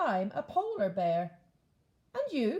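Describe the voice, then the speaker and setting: A woman puts on a character voice, high-pitched and with a warm tone. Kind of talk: bedtime story. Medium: read story. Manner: warm, kindly.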